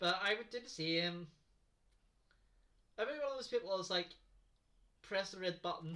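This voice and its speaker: Moderately paced speech in a Northern Irish accent, bright and sharp in tone, with lively intonation, big swings in loudness and long, frequent pauses. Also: woman, medium pitch for a woman. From Northern Ireland. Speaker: livestream co-player. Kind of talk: casual chat. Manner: soft-spoken.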